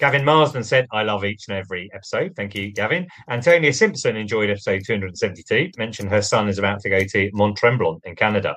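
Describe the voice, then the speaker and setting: With a British accent, a man talks at a very fast pace with lively intonation and hardly any pauses. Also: fairly low pitch for a man. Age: 40s. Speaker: podcast host. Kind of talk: podcast outro. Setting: studio.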